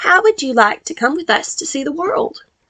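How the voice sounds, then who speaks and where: This is a put-on character voice, squeaky in sound. It moves at a moderate pace. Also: woman, extremely high pitch for a woman. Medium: read story. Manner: friendly, eager.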